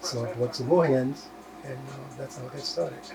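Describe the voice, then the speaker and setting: There's audible room echo and noticeable background noise as a man speaks with an American accent. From South Carolina (Georgetown). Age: 80s+. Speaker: farmer. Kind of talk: interview. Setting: indoors at home, TV on.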